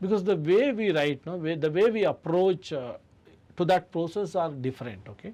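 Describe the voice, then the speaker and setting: With a Karnataka accent, a man talks at a moderate pace in a high pitch, his dark, mellow tone shaped by lively intonation. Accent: Indian English (Kannada). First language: Kannada. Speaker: author and literature festival director. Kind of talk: radio interview.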